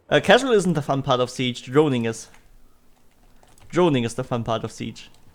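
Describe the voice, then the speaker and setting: A man with a slight German accent, medium-pitched, at a moderate pace with ordinary pitch variation. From Germany. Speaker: video game streamer. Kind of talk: live gameplay commentary. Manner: casual, with frequent fillers and restarts.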